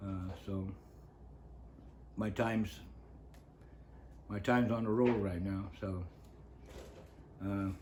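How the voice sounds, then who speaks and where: With an American accent, a man speaks at a very slow pace and fairly low pitch in a monotone with flat intonation, leaving long, frequent pauses amid audible room echo. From northern California coast. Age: 70s. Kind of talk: interview, life story. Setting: on-camera interview.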